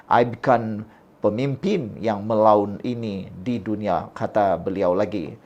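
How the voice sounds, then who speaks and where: The background stays quiet while a man talks very slowly. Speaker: political commentary YouTuber. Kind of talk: political commentary monologue.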